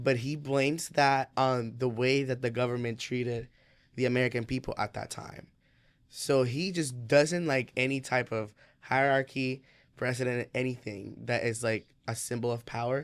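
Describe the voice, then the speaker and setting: A man's normal speaking voice at medium pitch, with fairly even intonation, on a very clean recording with a silent background. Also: moderate pace. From immigrant to the US. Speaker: student actor. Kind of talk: casual chat.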